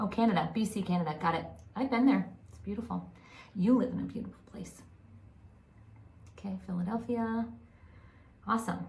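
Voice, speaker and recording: An animated woman speaks at a fairly quick pace, with long, frequent pauses and big swings in loudness, over noticeable background noise and audible room echo. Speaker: psychic medium and spiritual channel. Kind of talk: live stream chat with online audience. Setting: home office, live on camera. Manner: whispering at times.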